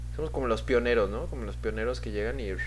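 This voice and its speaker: A man talks at a fairly quick pace over music in the background. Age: 20s. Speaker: podcast host. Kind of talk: casual monologue. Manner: halting.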